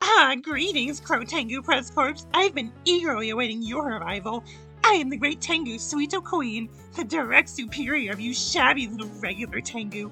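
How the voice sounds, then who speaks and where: Over clear background music, a woman uses a high-pitched, put-on character voice at a moderate pace. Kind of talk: dramatic reading of a game script. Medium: read story. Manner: grandiose, condescending.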